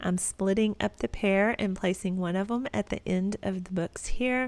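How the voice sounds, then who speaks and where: With a Texas accent, a woman speaks at a moderate pace. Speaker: home decor vlogger. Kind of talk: tutorial voiceover narration. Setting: at home.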